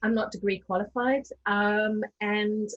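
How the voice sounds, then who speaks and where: Breath is somewhat audible in this woman's voice. Her intonation holds fairly even. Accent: South African. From South Africa. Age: 40s. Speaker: diversity and inclusion speaker. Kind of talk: webinar panel discussion.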